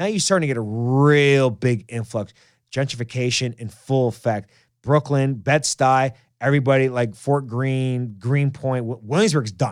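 With a New York accent, a man talks in an animated tone at a moderate pace, his medium-pitched voice showing ordinary pitch variation. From New York City (Queens). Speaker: podcast host. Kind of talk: casual chat. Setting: studio.

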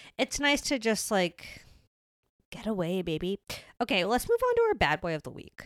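Recorded dry and close with no echo, a woman with a fairly high pitch and lively intonation speaks at a moderate pace, with long, frequent pauses. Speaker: podcast co-host. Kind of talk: casual chat. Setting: studio. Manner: loud.

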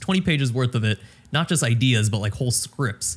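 With an American accent, a man of medium pitch talks at a fairly quick pace in an unremarkable speaking voice. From Houston, Texas. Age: 20s. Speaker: esports content creator. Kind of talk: interview.

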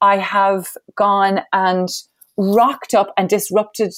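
A woman at a medium pitch in a very clean recording with a silent background. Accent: Irish. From Ireland. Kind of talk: interview.

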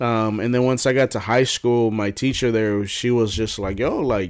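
In a plain, everyday voice, a man speaks at a moderate pace with medium pitch and ordinary pitch variation. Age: 20s. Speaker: podcast co-host. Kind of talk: casual chat.

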